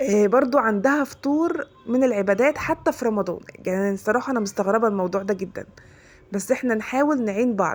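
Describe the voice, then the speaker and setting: A woman with an Egyptian accent speaks at a fairly quick pace. Her voice sits fairly high, with lively intonation. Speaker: religious content creator. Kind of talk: religious advice talk. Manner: fast.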